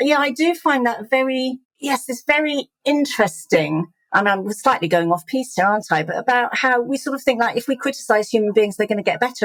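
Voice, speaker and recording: At a fairly quick pace, a woman with an English accent speaks in a high voice with lively intonation. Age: 50s. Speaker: charity chief executive. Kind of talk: interview conversation. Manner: fast.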